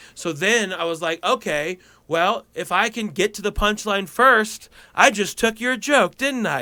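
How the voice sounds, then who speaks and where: A man talks in a raised, projected voice at a high pitch. The recording is very clean, with a silent background. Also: ordinary pitch variation, fairly slow pace. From Colorado. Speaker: stand-up comedian. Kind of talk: casual interview chat. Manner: projecting, moderately loud; halting with repetitions.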